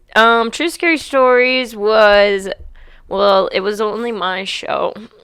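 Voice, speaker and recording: At a very slow pace, a woman speaks with fairly high pitch and ordinary pitch variation. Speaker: comedian and podcast host. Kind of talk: casual chat. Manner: stutters when reading aloud.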